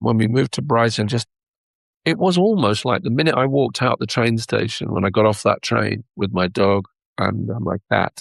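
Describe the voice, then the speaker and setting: A man with a London accent speaks fairly quickly in a fairly low voice with vocal fry. The sound is dry and close with no echo. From England, London. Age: 60s. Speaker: record label owner and musician. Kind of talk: interview conversation. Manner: halting, repeats words.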